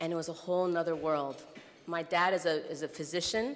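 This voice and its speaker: A woman uses a normal speaking voice with an American accent, a fairly low pitch, and a moderate pace. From US Midwest (Iowa). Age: 30s. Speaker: nonprofit executive director, keynote speaker. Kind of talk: keynote speech. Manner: conversational with frequent fillers.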